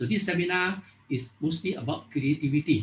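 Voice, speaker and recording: In a Malaysian accent, a man speaks somewhat breathily at a fairly quick pace with ordinary pitch variation. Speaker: workshop host and introducer. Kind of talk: formal introduction at online workshop. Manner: fast.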